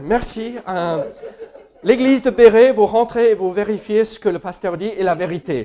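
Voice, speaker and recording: With an American accent, a man speaks at a fairly slow pace with ordinary pitch variation over noticeable background noise. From United States. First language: English (speaking French). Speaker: pastor. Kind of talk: sermon. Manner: hesitant, many fillers.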